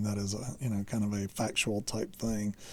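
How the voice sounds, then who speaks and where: A man talks in a Southern US accent with a dark, mellow tone. The recording is very clean, with a silent background. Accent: slow southern drawl. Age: 40s. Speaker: electronics hobbyist teacher. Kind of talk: lecture. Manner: halting, many fillers.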